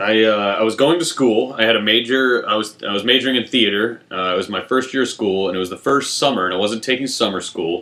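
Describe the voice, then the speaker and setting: A man's medium-pitched voice at a very fast clip, with ordinary pitch variation and hardly any pauses. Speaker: improv comedian. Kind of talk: casual chat. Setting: home bedroom. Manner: loud.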